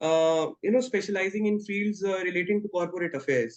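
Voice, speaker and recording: A man with an Indian accent, high in pitch, fairly quick, with ordinary pitch variation. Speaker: law student. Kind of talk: interview answer.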